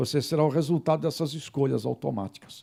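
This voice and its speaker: A man with a dark, mellow tone talks at a moderate pace on a very clean recording with a silent background. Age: 60s. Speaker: journalist and radio host. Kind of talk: talk to students and faculty.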